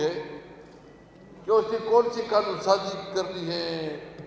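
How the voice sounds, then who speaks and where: A man talks with ordinary pitch variation while noticeable background noise plays behind him. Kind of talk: seminar speech criticising the law-making process.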